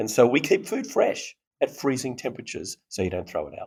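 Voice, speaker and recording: A man with an Australian accent, dry and close with no echo, in a very clean recording with a silent background. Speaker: startup founder. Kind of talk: interview. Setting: conference festival floor. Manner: animated.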